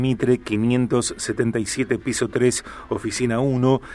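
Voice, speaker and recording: Noticeable background noise under a man's voice of medium pitch. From Argentina, Rosario. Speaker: radio host. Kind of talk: radio interview.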